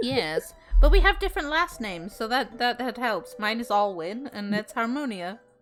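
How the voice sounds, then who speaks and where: Music plays in the background as a woman speaks at a moderate pace. Her high pitch swings very widely. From Britain. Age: 30s. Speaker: VTuber streamer. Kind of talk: casual chat.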